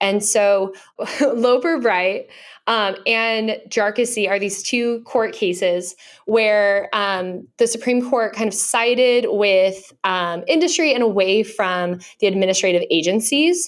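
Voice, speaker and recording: In a very clean recording with a silent background, a woman with a fairly high pitch speaks at a very slow pace. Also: ordinary pitch variation. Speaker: banking journalist and podcast co-host. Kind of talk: casual chat.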